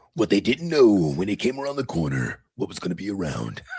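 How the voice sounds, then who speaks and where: A man's put-on character voice, fairly low-pitched, fairly quick, with very wide pitch swings. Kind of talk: dramatic trailer narration.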